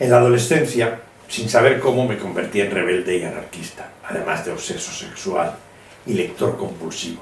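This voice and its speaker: A man with lively intonation at a moderate pace, amid noticeable background noise and audible room echo. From Spain. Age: 70s. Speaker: illustrator. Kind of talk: autobiographical monologue.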